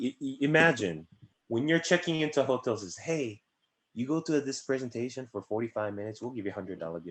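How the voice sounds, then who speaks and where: With a Korean accent, a man talks at a fairly quick pace, his intonation lively and his loudness swinging widely. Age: 20s. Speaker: insurance agency director. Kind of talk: interview. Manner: fast.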